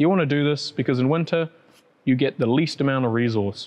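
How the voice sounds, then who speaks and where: The man here talks at a moderate pace. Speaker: presenter. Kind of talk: tutorial. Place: shop.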